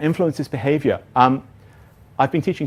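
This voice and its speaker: A man talks in an ordinary speaking voice at a fairly quick pace. His pitch variation is ordinary. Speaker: teacher trainer, conference speaker. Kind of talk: conference workshop talk. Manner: casual, self-deprecating with fillers.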